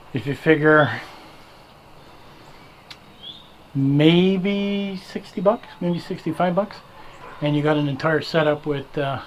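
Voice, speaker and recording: Light background noise sits behind a man who speaks at a very slow pace with long, frequent pauses. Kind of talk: tutorial. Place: garage. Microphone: phone near.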